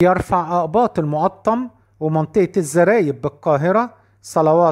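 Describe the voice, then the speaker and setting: The clip moves at a fairly slow pace on a very clean recording with a silent background. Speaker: news narrator for a church channel. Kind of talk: scripted narration. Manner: formal.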